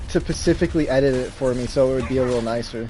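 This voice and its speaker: A man's voice over noticeable background noise. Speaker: gaming streamer. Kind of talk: casual chat. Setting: live stream. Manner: halting.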